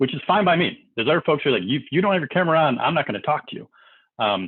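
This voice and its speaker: Very fast, loud speech with very wide pitch swings. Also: man, fairly high pitch for a man. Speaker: company CEO. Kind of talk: interview. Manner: animated.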